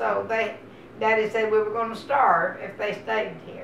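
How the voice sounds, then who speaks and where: Through audible room echo and noticeable background noise, a woman with an American accent speaks at a fairly slow pace in a fairly high pitch with fairly even intonation. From Texas. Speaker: oral history interviewee. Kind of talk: oral history interview. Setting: at her home.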